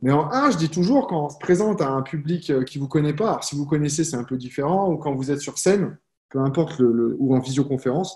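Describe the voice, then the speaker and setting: A man's fairly high, somewhat breathy voice at a moderate pace with ordinary pitch variation. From France, Lyon. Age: 30s. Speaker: network marketing coach. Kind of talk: live stream talk. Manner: casual, conversational.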